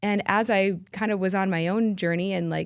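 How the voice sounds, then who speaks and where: A woman speaks in an unremarkable speaking voice at medium pitch, with fairly even intonation. The recording is very clean, with a silent background. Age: 40s. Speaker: leadership and life coach. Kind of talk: casual interview chat.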